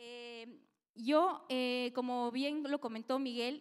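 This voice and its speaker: Against a quiet background, a woman speaks with a high pitch and fairly even intonation. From Lima, Peru. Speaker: network marketing businesswoman; presenter. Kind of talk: business presentation. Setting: stage with audience. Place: hall. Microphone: handheld.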